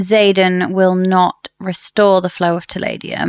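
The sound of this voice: Unforced reading against a quiet backdrop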